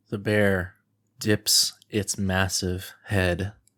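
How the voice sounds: Quiet surroundings behind a natural reading voice.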